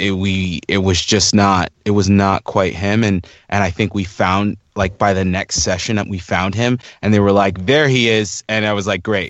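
At a fairly slow pace, a man speaks in an ordinary speaking voice, fairly low in pitch with fairly even intonation. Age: 30s. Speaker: voice actor. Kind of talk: interview.

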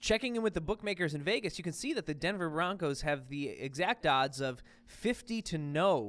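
On a very clean recording with a silent background, a man with an American accent speaks at a moderate pace in a high pitch, with lively intonation and hardly any pauses. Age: 30s. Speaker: sports podcast co-host. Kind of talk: casual chat.

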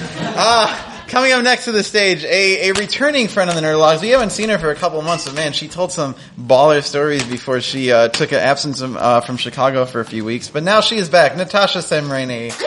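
Against noticeable background noise, a man with an American accent and fairly high pitch speaks at a fairly quick pace with very wide pitch swings and hardly any pauses. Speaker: podcast host and emcee. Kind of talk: live storytelling show hosting. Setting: stage with audience. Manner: casual, upbeat.

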